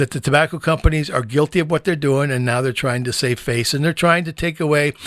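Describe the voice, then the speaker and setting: With an American accent, a man talks at a fairly quick pace in a fairly high pitch, recorded very cleanly with a silent background and a dry, close sound with no echo. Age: 60s. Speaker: podcast host and anti-smoking educator. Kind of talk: podcast monologue. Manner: animated.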